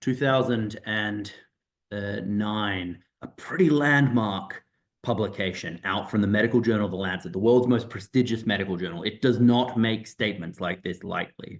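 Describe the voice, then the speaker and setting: Speaking in an Australian accent, a man keeps a moderate pace with fairly low pitch and ordinary variation. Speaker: doctor and professor. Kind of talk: presentation on online info session. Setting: video call. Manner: hesitant, repeating words.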